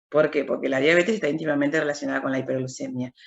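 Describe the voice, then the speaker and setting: Her intonation moves in a lively way. The speaker is a woman. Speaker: university lecturer in clinical biochemistry. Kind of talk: lecture. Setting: video call.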